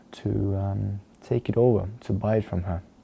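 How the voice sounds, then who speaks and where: A man with an Estonian accent speaks in a fairly low pitch with a dark, mellow tone. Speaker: dance teacher and vlogger. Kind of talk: personal vlog talking to camera. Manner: halting, with repeated words and fillers.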